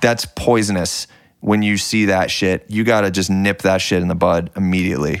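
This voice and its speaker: This man talks at a moderate pace in a fairly low pitch, his intonation fairly even and his loudness very even. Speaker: music producer. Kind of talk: casual interview chat. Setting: in a house in California.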